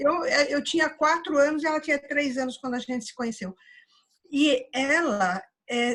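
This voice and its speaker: A woman is speaking. Her intonation is lively. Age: 60s. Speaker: audience participant. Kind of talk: casual conversation. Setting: virtual meditation room video call. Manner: halting.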